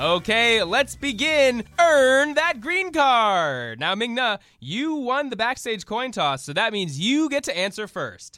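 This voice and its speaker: A man talks in an extremely high pitch with very wide swings, his tone bright, sharp and animated. His voice is raised and projected, and his pace is fairly slow. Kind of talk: comedy sketch with game-show host and satirical character voices. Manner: over-the-top cheery game-show announcer patter, exaggerated and animated.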